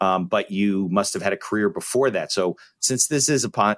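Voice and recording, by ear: A man's low-pitched voice with ordinary pitch variation.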